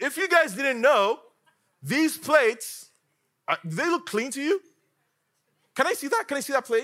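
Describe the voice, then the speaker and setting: A man's extremely high voice is raised and projected, with a bright, sharp, animated tone. His pitch swings very widely, and he leaves long, frequent pauses. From Africa. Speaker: guest preacher. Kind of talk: sermon.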